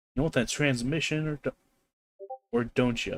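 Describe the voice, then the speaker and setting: A gruff, growling put-on character voice from a man, medium in pitch, at a moderate pace. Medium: game stream.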